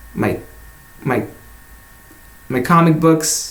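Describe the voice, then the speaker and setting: Heard with audible room echo, a man with a fairly high pitch speaks at a very slow pace. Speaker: vlogger. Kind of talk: casual chat. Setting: his bedroom. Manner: halting.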